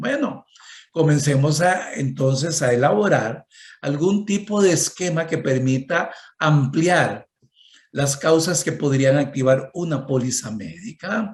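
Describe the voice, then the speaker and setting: A man speaks at a very slow pace with a fairly high pitch. His voice is somewhat breathy, with ordinary pitch variation. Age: 60s. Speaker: economist and conference speaker. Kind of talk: conference talk.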